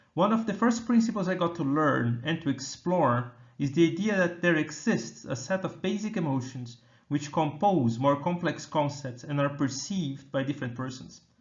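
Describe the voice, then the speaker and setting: A man with a Brazilian accent, fairly high pitch, somewhat breathy delivery, lively intonation and moderate pace. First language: Portuguese. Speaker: computer scientist researcher. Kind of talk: keynote talk.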